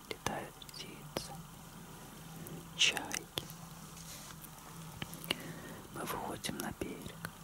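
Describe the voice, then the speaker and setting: A soft-spoken man whispers in a soothing tone. Noticeable background noise runs underneath. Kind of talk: soft intimate talk, ASMR-style role-play. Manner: soft, slow, soothing ASMR whisper. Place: home room. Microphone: phone near.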